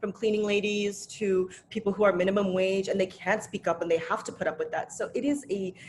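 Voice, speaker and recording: A woman with an American accent speaks at a fairly quick pace with hardly any pauses. Her medium pitch shows ordinary pitch variation over noticeable background noise. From grew up in US, Indian family. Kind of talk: casual chat. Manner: animated.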